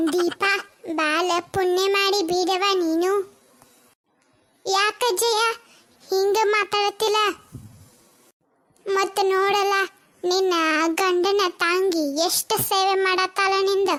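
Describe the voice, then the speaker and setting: In a cartoonish character voice, a woman speaks at a very slow pace with an extremely high pitch, monotone, flat intonation and very even loudness. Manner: blunt, chatty.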